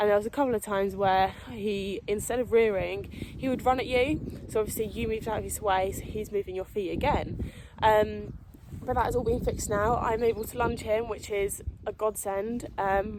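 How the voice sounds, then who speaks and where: A woman with a British accent speaks at a moderate pace in a fairly high voice with fairly even intonation, over noticeable background noise. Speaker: horse rider, vlogger. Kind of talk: casual vlog explanation. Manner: hesitant, many fillers.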